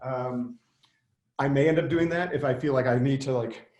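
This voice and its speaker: A man with fairly even intonation. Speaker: software developer and tech speaker. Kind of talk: technical webinar presentation. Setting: video call from an office. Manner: loud; fast.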